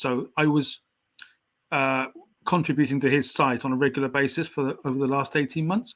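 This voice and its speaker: With a southern English accent, a man talks in a monotone, flat delivery at a fairly high pitch. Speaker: writer, poet and painter. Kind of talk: podcast interview. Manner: slight stammer.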